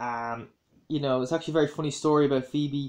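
With a Dublin accent, a man talks at a moderate pace over a quiet background. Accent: Dublin Irish. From Ireland, Dublin. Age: 20s. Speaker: YouTuber; vlogger. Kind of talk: casual vlog commentary; casual vlog chat. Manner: hesitant, many fillers. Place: home room. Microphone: phone near.

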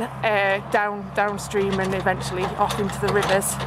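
A woman speaks at a moderate pace. The sound is dry with no echo, and there is loud background noise. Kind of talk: explanatory commentary. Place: open country. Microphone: phone near.

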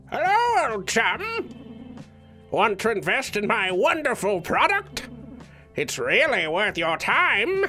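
Over clear music in the background, a man uses a put-on character voice, raised and projected, at an extremely high pitch and a fairly slow pace. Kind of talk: comic dub of game text. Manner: aggressive, taunting.

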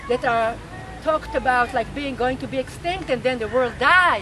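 A woman with an Israeli accent uses a raised, projected voice at a high pitch with ordinary pitch variation. The sound is dry with no echo, and crowd noise fills the background. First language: Hebrew. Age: 60s. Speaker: rebirthing teacher and activist; rebirthing teacher. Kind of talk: interview. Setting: outdoors. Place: garden.

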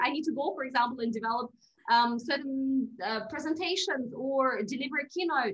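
The speaker uses a raised, projected voice with a bright, sharp tone at a fairly quick pace. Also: woman. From Russia. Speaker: podcast guest. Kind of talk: interview. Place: home room. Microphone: video call.

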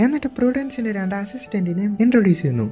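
Over music in the background, a woman at a fairly high pitch makes very wide pitch swings. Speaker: movie explainer. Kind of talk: movie plot narration.

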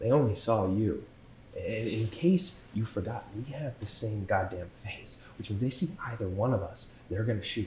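The pitch varies in an ordinary way, with light background noise and audible room echo. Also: man, moderate pace. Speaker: actor in a crime drama scene. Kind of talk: scripted dramatic dialogue. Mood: tense, arguing, exasperated. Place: cafe.

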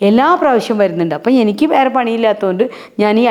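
Here is a woman with an unremarkable speaking voice. Her pitch sits fairly high. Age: 50s. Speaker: social worker. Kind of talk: interview.

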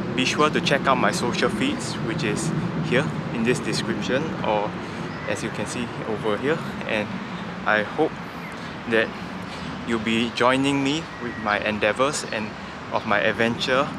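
A man speaks at a moderate pace with ordinary pitch variation, pausing often and at length. The sound is dry with no echo, and loud background noise runs underneath. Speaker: vlogger. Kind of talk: casual vlog chat. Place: waterside. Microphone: phone near.

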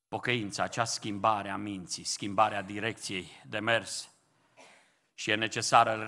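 At a fairly slow pace, a man speaks with a fairly low pitch and a bright, sharp tone against a quiet background. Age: old. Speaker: pastor. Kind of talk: sermon. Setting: church. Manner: impassioned. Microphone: podium.

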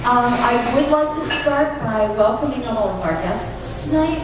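A woman speaks at a moderate pace amid strong room echo and noticeable background noise. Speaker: meeting host. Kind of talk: speaker introduction. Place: hall.

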